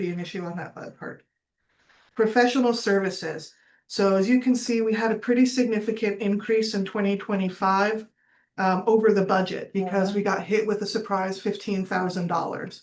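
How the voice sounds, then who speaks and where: Medium-pitched woman with fairly even intonation over a quiet background. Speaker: county HR director. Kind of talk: budget committee presentation. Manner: fast.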